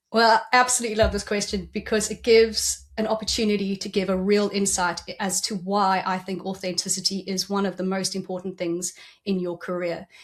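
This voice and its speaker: A South African accent at a fairly quick pace, with monotone, flat intonation and hardly any pauses. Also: woman, medium pitch for a woman. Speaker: executive coach. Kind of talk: podcast interview.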